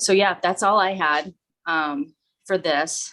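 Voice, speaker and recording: A woman is speaking. Her tone is bright and sharp. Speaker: wellness coach leading a team call. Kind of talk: informal presentation to a team.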